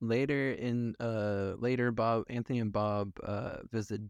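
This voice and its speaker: A man talks at a fairly low pitch with monotone, flat intonation. The background is quiet. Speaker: film podcast host. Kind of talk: reading aloud; casual chat.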